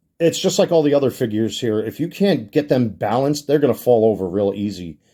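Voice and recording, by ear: In a put-on character voice, a raspy man at medium pitch races along at a very fast pace with very wide pitch swings, on a very clean recording with a silent background.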